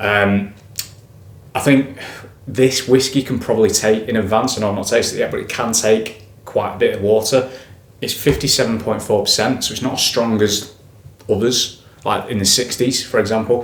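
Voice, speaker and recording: A man's medium-pitched voice at a moderate pace, fairly even in intonation, with noticeable background noise. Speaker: whisky reviewer. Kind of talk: product review, casual tasting talk. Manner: casual, hesitant with fillers and self-corrections.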